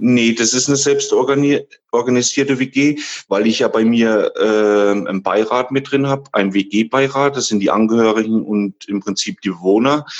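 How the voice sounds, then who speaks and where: An unremarkable speaking voice, this man's sits at medium pitch with ordinary variation, moving at a fairly slow pace with very even loudness and hardly any pauses. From Thuringia, Germany. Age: 30s. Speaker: care home manager. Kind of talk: interview.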